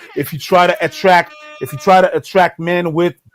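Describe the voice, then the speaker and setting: A man speaks at a moderate pace with a high pitch. Music plays in the background. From Montreal, Canada. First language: French. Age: 30s. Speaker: comedy YouTuber. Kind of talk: casual interview chat. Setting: livestream collab.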